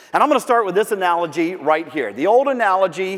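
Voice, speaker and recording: A man with an American accent talks at a fairly quick pace in a high pitch, his tone animated. His intonation is lively, and noticeable background noise is present. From Central Florida. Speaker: professional speaker. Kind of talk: keynote speech. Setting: stage with audience. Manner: fast.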